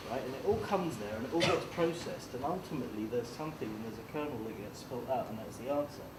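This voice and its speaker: A man at medium pitch talks very fast with lively intonation and hardly any pauses. Audible room echo and noticeable background noise are present. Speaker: entrepreneur on a panel. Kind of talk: panel discussion. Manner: loud; animated.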